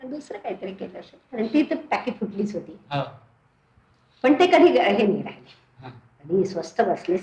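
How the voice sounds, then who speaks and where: A woman of medium pitch swings very widely in pitch and shows big shifts in loudness. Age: 70s. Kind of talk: interview answer.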